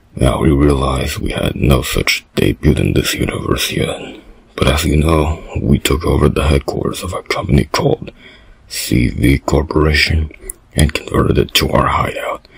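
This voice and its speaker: At a moderate pace, a man talks in a very deep, low pitch. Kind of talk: amateur comic villain acting. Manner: bossy, ranting, impatient.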